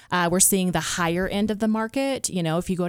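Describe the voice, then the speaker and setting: A woman with an American accent has an ordinary speaking voice, fairly low in pitch with ordinary pitch variation. She talks at a fairly quick pace on a very clean recording with a silent background. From US East Coast. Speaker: real estate agent. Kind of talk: radio interview, conversational. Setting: radio studio.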